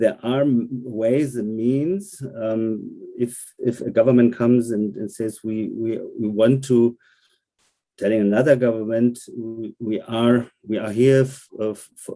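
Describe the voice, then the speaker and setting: A man speaks with a German accent and a dark, mellow tone. His intonation stays fairly even. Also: medium pitch for a man, fairly slow pace. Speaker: German member of parliament. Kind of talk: online panel discussion. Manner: halting, many repetitions and fillers.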